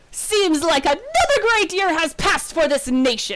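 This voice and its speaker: In a put-on character voice, a woman speaks at an extremely high pitch with lively intonation. Her pace is moderate and her loudness stays very even. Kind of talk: regal, proclaiming. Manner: grand.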